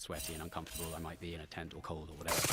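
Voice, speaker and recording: Very fast, monotone delivery in a bright, sharp tone. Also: man. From southwest England, near Salisbury. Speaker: adventure cyclist and travel writer. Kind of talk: podcast interview. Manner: hesitant, many ums and restarts.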